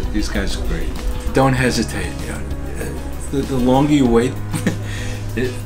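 With clear music in the background, a man at a medium pitch speaks with lively intonation. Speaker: dental implant patient. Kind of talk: patient testimonial interview answer. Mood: grateful, enthusiastic.

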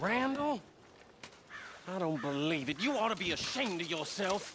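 In a put-on character voice, a man speaks at a fairly slow pace with a high pitch, big pitch swings and a fairly bright tone.

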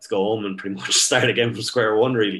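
Man with an Irish accent, fairly low-pitched, in a flat monotone. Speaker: strength and conditioning coach. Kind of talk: casual chat.

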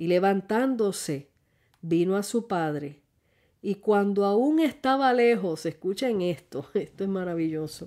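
In a dark, mellow tone, a woman speaks at a medium pitch and a fairly slow pace. The recording is very clean, and the background is silent. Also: lively intonation. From Puerto Rico, rural Ciales. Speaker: lay preacher and podcast host. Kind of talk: sermon.

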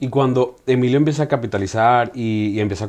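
A man does the talking. Ordinary pitch variation runs through his speech. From Venezuela. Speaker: podcast host. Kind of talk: interview. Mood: warm, enthusiastic. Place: studio. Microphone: lapel.

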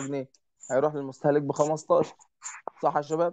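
The man talks at a very fast pace. His intonation is monotone and flat. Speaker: teacher. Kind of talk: online lesson.

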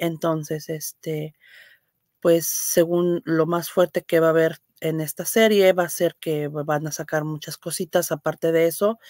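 A woman with a fairly low pitch speaks at a fairly slow pace in a monotone, flat intonation. The background is quiet and the sound is dry with no echo. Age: old. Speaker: livestream host. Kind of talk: casual live stream chat. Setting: live stream reading chat comments. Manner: hesitant, many fillers. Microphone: webcam.

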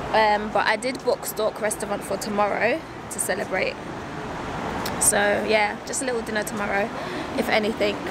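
Speaking at a moderate pace with long, frequent pauses, a woman's voice sounds dry with no echo against loud background noise. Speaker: vlogger. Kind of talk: casual vlog chat. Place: street. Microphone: earbuds.

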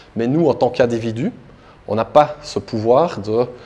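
A man speaking at a fairly slow pace, with ordinary pitch variation. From Belgium, Liège; Belgium. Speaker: crypto asset manager and conference speaker; conference speaker. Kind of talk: conference talk. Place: hall. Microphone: handheld.

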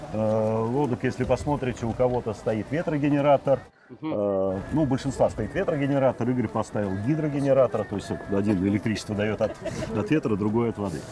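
At a fairly quick pace and with ordinary pitch variation, the voice comes through a dry sound with no echo over noticeable background noise. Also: man. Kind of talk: interview answer. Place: waterside.

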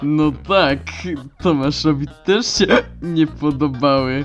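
A put-on character voice with a low-to-middle pitch moves at a fairly slow pace. Faint music plays in the background. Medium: dub.

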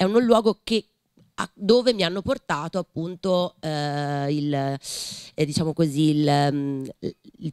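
Against a quiet background, a woman's very deep, low voice comes through with a dry sound and no echo. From Tuscany. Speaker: writer and teacher; teacher. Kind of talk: panel discussion. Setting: library event with audience. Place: hall. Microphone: podium.

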